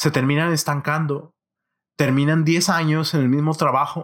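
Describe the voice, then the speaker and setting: Recorded very cleanly against a silent background, a man with a fairly high voice talks at a fairly slow pace. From northern Mexico, Monterrey. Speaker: podcast host; software worker. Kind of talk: solo monologue. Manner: halting, frequent repetitions.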